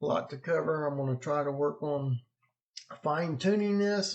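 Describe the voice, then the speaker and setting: A man speaks at a moderate pace with a fairly high pitch. He has an ordinary speaking voice with ordinary pitch variation. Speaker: weather blogger. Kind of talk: weather vlog walkthrough. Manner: casual, conversational.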